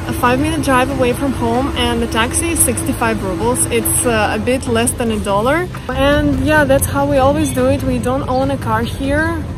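A woman's voice, dry with no echo, with clear music in the background. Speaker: travel vlogger. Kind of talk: casual vlog chat. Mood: cheerful. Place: street. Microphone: phone near.

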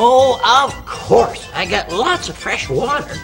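A cartoonish character voice at a fairly slow pace, with clear music in the background. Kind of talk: children's TV puppet dialogue. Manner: hesitant, stammering.

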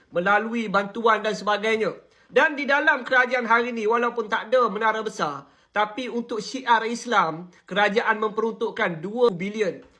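A raised, projected voice with a bright, sharp tone, fairly even intonation and a fairly slow pace. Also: man. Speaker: political commentator. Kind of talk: political commentary monologue.

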